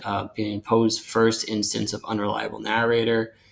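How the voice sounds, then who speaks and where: A man's fairly low, monotone, flat voice at a moderate pace, with noticeable background noise. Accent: American. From US Northeast, Long Island, New York. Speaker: novelist and screenwriter. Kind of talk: casual chat.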